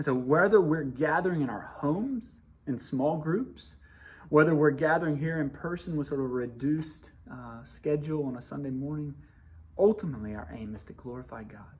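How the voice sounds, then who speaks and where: A somewhat breathy man with a fairly high pitch at a fairly quick pace, with ordinary pitch variation and audible room echo. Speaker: pastor. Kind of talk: devotional message to congregation. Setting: church building under renovation. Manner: fast.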